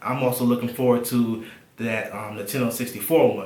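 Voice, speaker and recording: Amid noticeable background noise and audible room echo, a man of medium pitch speaks at a moderate pace with fairly even intonation. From Alabama. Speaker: tech and gaming YouTuber. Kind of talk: casual to-camera vlog.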